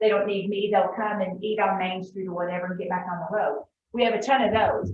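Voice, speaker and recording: With audible room echo around her, a woman talks very fast at a fairly high pitch. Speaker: tourism official. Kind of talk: club meeting talk. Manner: animated.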